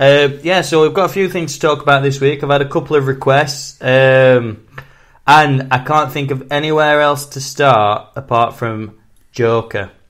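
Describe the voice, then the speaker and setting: One man, fairly high-pitched, talks at a moderate pace and with fairly even intonation. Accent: strong Sheffield. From northern England, Sheffield. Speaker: film podcast host. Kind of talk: casual chat. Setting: podcast recording.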